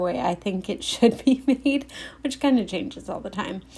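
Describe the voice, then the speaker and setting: A woman speaks at a moderate pace in a dark, mellow, somewhat breathy voice with ordinary pitch variation. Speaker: cleaning vlogger. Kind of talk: casual voiceover narration. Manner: chatty.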